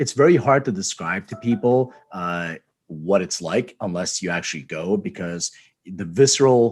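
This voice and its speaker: With an American accent, a man uses a normal speaking voice, fairly low in pitch, with lively intonation at a moderate pace over a quiet background. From Philadelphia, US. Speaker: podcast host. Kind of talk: podcast interview.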